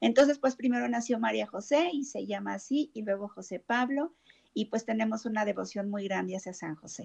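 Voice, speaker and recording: A woman talks at a fairly quick pace in a normal speaking voice, fairly high in pitch, with ordinary pitch variation and big swings in loudness. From Mexico City. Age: 50s. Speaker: therapist. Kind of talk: interview testimony.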